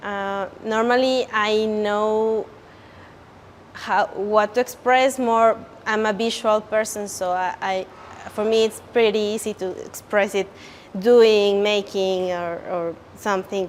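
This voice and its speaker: A woman with a Spanish accent speaks very slowly, with long, frequent pauses. Her voice is fairly high, her intonation fairly even. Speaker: creative director, language student. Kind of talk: testimonial interview. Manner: halting, many fillers and restarts.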